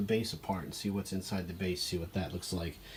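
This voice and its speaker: This man talks at a fairly quick pace. His voice is somewhat breathy. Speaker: antique fan restorer, hobby video maker. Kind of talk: casual tutorial-style narration. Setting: workshop table. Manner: hesitant, many fillers.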